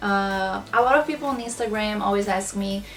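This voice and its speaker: A woman with a Brazilian accent and a fairly high pitch, fairly even intonation, music in the background. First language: Portuguese. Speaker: small business owner, planner shop. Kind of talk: casual talk to camera. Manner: slow.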